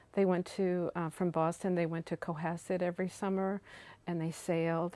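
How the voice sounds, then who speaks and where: In an American accent, a woman speaks at a moderate pace with a fairly low pitch and a dark, mellow tone, her intonation monotone and flat. The recording is very clean, dry and close, with a silent background and no echo. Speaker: oral history interviewee. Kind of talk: oral history interview. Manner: halting.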